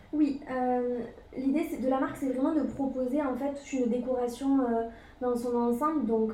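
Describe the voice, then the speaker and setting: A woman with a high pitch and a dark, mellow tone speaks at a fairly slow pace with fairly even intonation, and audible room echo surrounds her. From France, Toulouse. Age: 20s. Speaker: boutique co-founder. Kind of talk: interview.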